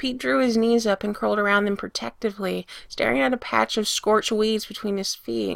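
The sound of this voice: Text is being read. The voice stays unforced.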